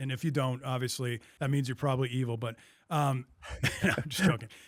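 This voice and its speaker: Speaking at a fairly quick pace, this is a normal speaking voice with ordinary pitch variation. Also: man. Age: 50s. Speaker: podcast host. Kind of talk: interview.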